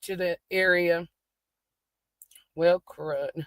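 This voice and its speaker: A woman speaks at a very slow pace in a Southern US accent. The sound is dry and close, with no echo. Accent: country Southern. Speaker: true crime YouTuber. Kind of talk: casual commentary while reviewing dispatch audio. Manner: casual, chatty.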